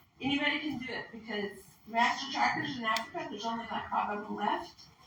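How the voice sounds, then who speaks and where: Over noticeable background noise and audible room echo, a woman talks at a moderate pace with a fairly high pitch and lively intonation. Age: 60s. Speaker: wildlife tracker and conference presenter. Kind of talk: conference presentation. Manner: loud.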